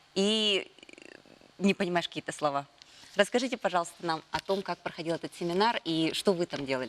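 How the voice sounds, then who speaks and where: Noticeable background noise sits behind a woman with a Yakutian accent speaking at a fairly quick pace. Her voice is fairly low, with ordinary pitch variation and big swings in loudness. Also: dry, close sound with no echo. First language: Yakut (speaking Russian). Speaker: morning TV host. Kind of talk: TV interview.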